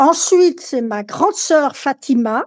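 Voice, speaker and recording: A woman speaking at a very slow pace on a very clean recording with a silent background. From France, Lyon, with adolescence in Algeria. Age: 70s. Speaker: interviewee sharing life story. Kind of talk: personal testimony. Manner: hesitant, many fillers.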